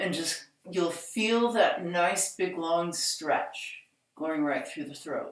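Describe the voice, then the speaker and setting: A woman's strained, put-on character voice, fairly low in pitch, very slow, with big swings in loudness. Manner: strained, hard to talk.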